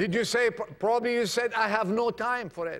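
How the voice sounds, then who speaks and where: This is a man speaking with a high-pitched voice. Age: 50s. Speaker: preacher. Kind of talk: sermon.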